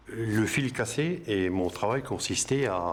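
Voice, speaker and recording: A man's voice with ordinary pitch variation. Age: 60s. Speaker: retired factory worker. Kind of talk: testimony. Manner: halting, many hesitations.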